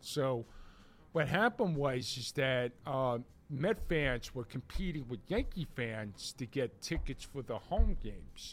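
Recorded very cleanly against a silent background, the speaker talks at a fairly slow pace with a New York accent. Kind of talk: casual chat. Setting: studio.

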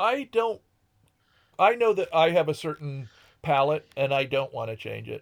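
A man with an American accent speaks with long, frequent pauses, very wide pitch swings, and big swings in loudness in a very clean recording with a silent background. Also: moderate pace. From rural Connecticut. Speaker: musician. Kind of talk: casual chat.

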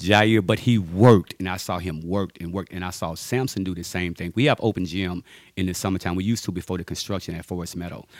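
A man with a very deep, low pitch rushes along at a very fast pace with hardly any pauses and fairly even intonation, in a very clean recording with a silent background. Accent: Louisiana. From Louisiana, US South (Ruston). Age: 50s. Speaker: junior high basketball coach and army veteran. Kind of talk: interview.

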